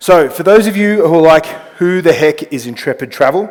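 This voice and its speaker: Speaking at a moderate pace, a man talks with an Australian accent. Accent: thick Australian. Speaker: travel company executive. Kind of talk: conference presentation.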